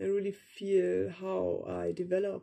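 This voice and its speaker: The speaker is a woman. She has a German accent. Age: young. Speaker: vlogger, meditation practitioner. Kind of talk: personal vlog monologue, unscripted. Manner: hesitant, with fillers.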